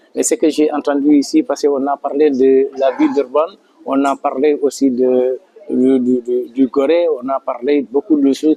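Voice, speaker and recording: Against noticeable background noise, a man speaks fairly slowly at a fairly high pitch with monotone, flat intonation. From Senegal, Casamance. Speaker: community association leader. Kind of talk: interview testimony. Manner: hesitant, with fillers.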